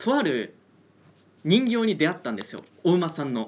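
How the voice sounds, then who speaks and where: A man speaks with very wide swings in pitch. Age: 20s. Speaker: trainee race announcer and podcast co-host. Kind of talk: casual chat.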